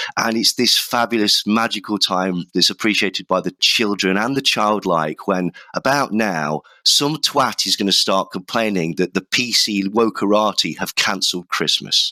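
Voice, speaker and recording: With a British accent, a man speaks in a bright, sharp tone at a fairly low pitch, hardly pausing and using ordinary pitch variation, in a dry, close sound with no echo on a very clean recording with a silent background. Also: moderate pace. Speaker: podcast host. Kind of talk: casual chat.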